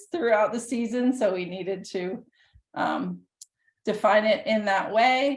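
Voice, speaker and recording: A woman with a plain, everyday voice speaks fairly slowly at a fairly high pitch, her pitch varying in an ordinary way. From US South, Nashville Tennessee. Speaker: professor. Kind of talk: lecture.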